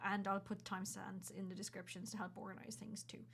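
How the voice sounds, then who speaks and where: Her speech runs at a very fast pace. The woman's voice carries vocal fry. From Ireland, County Kerry. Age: 30s. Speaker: content creator and journalist. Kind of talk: personal vlog explainer. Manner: casual, conversational.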